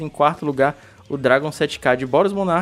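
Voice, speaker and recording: This man's fairly high voice moves at a fairly quick pace with ordinary pitch variation. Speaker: podcast host. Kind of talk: casual chat. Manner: fast.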